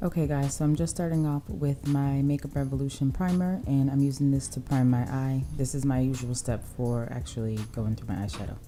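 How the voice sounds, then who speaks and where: Over noticeable background noise, a woman talks at a fairly quick pace in a very deep, low voice. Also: ordinary pitch variation. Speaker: beauty vlogger. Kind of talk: casual chat to viewers; makeup tutorial. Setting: at home at night. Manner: quiet.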